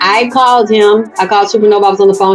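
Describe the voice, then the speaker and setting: With an American accent and a medium pitch, a woman speaks at a fairly quick pace in an animated tone as music plays in the background. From US South, Atlanta. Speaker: conscious community video host. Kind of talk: personal testimony.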